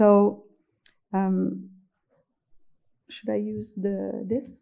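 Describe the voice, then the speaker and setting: A woman with a Quebec accent. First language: French. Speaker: professor. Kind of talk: conference lecture. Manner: slow; halting.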